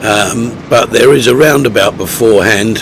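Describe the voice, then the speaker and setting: A man speaks fairly slowly while noticeable background noise fills the recording. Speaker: motorcycle vlogger. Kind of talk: voice-over commentary. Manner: hesitant, many fillers.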